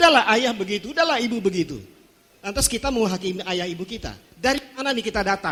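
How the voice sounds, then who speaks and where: A man talks at a very fast pace in a high pitch, his tone animated, bright and sharp. His intonation is lively. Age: 60s. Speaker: pastor. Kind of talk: sermon.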